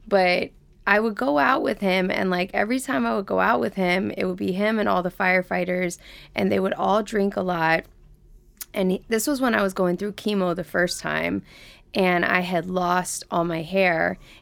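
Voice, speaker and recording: In a normal speaking voice, a woman talks at a medium pitch with ordinary pitch variation and an American accent. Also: moderate pace. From US South, Atlanta. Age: 30s. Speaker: author, poet and dancer. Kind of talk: casual interview chat. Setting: studio.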